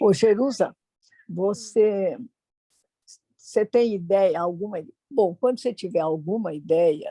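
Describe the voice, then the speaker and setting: Very slow and dark, mellow in tone, a woman's voice shows ordinary pitch variation. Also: dry, close sound with no echo. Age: 90s. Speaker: longtime tai chi student. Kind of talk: interview.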